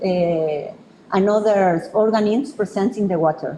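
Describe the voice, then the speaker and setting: A woman speaks with a Spanish accent against noticeable background noise and audible room echo. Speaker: researcher presenting a project. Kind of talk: conference presentation. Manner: halting, many fillers.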